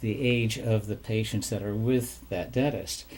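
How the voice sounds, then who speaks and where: A man with a dark, mellow tone sounds somewhat breathy and uses ordinary pitch variation. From Maine. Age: 70s. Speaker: retired dentist. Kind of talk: interview.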